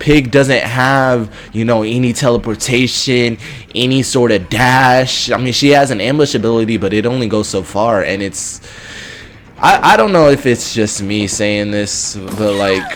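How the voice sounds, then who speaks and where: A man speaks at medium pitch and a fairly slow pace, with ordinary pitch variation. Noticeable background noise runs underneath. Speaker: gaming youtuber and streamer. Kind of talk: gameplay commentary. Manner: loud; halting, repetitive stammering.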